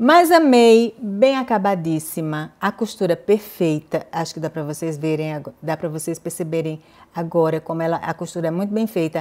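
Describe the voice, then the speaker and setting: A woman speaks at a moderate pace, her loudness swinging widely and her intonation lively. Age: 50s. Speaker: fashion YouTuber. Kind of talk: fitting-room haul vlog. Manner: animated.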